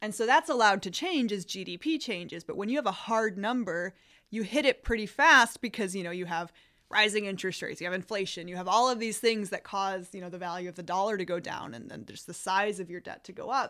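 An American-accented woman speaks at a very fast pace with lively intonation and a medium pitch. Her tone is bright and sharp, and the recording is very clean with a silent background. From US Midwest, Illinois. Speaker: economics professor. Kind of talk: explanatory interview.

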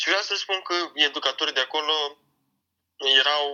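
A man's high-pitched voice with a bright, sharp tone at a fairly slow pace. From Romania, Iași. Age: young (18). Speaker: young hip-hop artist raised in foster care. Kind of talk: interview.

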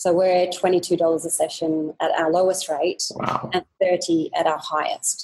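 In an Australian accent, a woman speaks at a medium pitch with a dark, mellow tone. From Australia, Sydney. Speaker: fitness business owner. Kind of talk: interview.

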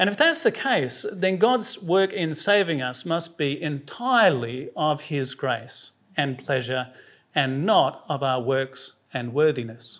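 A fairly high-pitched man with a South Australian accent, fairly slow in pace and lively in intonation. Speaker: preacher. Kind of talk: sermon.

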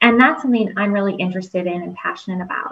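A woman with an American accent sounds somewhat breathy, her pitch varying in an ordinary way. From US Midwest (Toledo, Ohio). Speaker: pharmacy professor. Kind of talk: interview. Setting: video call with live audience.

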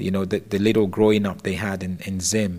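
A man speaks in an ordinary speaking voice with a fairly low pitch. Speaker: football pundit. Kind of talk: casual discussion.

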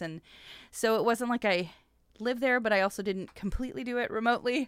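An American-accented woman with an unremarkable speaking voice talks at a fairly quick pace with ordinary pitch variation on a very clean recording with a silent background. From US, military family, partly Washington State. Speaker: business professor and podcast host. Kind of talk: casual interview.

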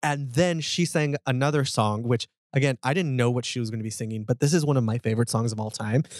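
A man speaks very fast at a medium pitch, with ordinary pitch variation. The sound is dry and close, with no echo. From Texas. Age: 30s. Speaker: podcast co-host. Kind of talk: casual interview chat.

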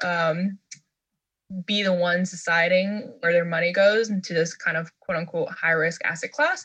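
Here a woman talks at a fairly slow pace in a plain, everyday voice. Her pitch sits fairly low with ordinary variation, and the background is quiet. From New York City. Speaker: venture investor. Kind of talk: interview podcast.

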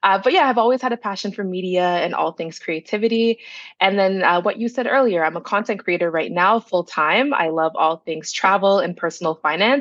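A woman with a Toronto accent speaks at a fairly quick pace and a medium pitch. The background is quiet. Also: ordinary pitch variation. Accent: Toronto Canadian English. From Canada, Brampton, Ontario (Toronto area), Jamaican family. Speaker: content creator. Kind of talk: casual interview.

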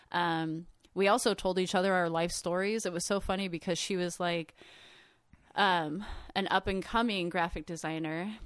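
Very clean and set against a silent background, the recording has an unremarkable speaking voice from a woman at medium pitch, moderate in pace and fairly even in intonation. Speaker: artist and traveler. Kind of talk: casual storytelling.

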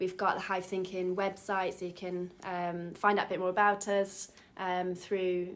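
In an East Midlands accent, a woman of medium pitch speaks at a fairly slow pace with monotone, flat intonation. Noticeable background noise can be heard. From Derby, England. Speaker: business coach. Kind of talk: interview.

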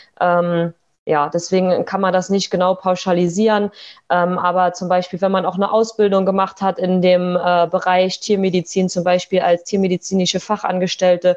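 A woman's voice at a medium pitch. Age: 20s. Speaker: veterinarian. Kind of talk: interview. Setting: video call.

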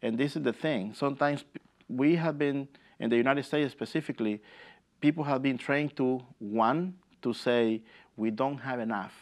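The speaker has a Spanish accent and a moderate pace. Pitch varies in an ordinary way, and the background is quiet. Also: man, medium pitch for a man. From El Salvador. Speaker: immigrant rights organizer. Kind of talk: interview.

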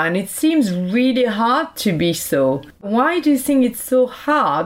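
A woman speaks with a French accent. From France. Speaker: podcast host. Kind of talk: interview. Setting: remote call.

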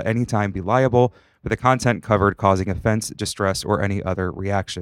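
A man talks at a very fast pace, his pitch fairly low with ordinary variation, in an American accent. The recording is very clean with a silent background and a dry, close sound free of echo. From Northwest Ohio, US. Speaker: podcast host, aspiring mental health counselor. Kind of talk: casual interview chat; read disclaimer. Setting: studio.

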